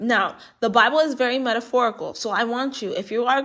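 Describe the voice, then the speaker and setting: A woman's bright, sharp, fairly high voice at a fairly quick pace. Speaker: tarot reader. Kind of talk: spiritual reading monologue. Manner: animated.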